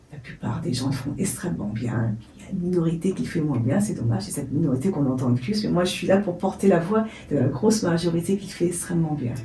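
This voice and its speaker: A woman's very fast speech with very wide pitch swings and audible room echo. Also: fairly low pitch for a woman. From France. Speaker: network founder and author. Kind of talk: interview. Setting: radio studio. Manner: halting, with many repetitions and hesitations.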